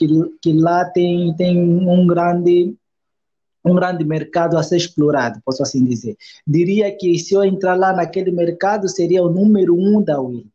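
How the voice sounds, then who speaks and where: Speaking at a fairly slow pace, a man has a high pitch, a dark, mellow tone and ordinary pitch variation. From Angola, Luanda. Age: 20s. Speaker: cake artist and pastry teacher. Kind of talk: interview. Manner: halting, many repetitions.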